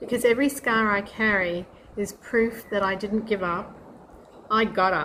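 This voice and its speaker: A woman with an unremarkable speaking voice, fairly high pitch, moderate pace and fairly even intonation. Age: 60s. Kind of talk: personal story told to camera.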